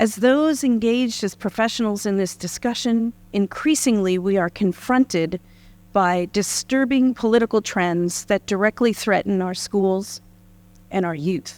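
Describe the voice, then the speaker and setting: A woman with an American accent speaks fairly slowly at a medium pitch, with ordinary pitch variation. The sound is dry and close with no echo, very clean against a silent background. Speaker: university dean. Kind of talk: formal welcome speech.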